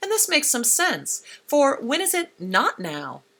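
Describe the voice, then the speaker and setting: Over a silent background in a very clean recording, a woman speaks at a moderate pace with a bright, sharp tone, vocal fry and very wide pitch swings. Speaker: radio essayist. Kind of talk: spoken-word radio feature.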